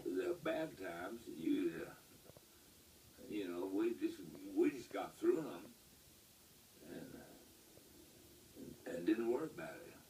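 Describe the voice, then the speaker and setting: A man talks at a very slow pace in a West Texas accent. His loudness swings widely, and long pauses come often. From Lubbock, Texas. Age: 80s+. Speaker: World War II Navy Seabees veteran. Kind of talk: interview answer.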